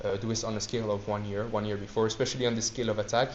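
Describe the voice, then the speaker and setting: In a room with audible echo, a man with a medium pitch talks at a very fast pace. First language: not English. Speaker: student society presenter. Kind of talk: lecture. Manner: halting.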